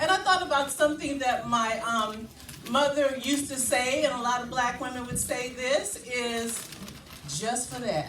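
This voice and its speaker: A woman speaks loudly. Audible room echo surrounds her voice. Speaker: spoken word poet. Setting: live event with audience.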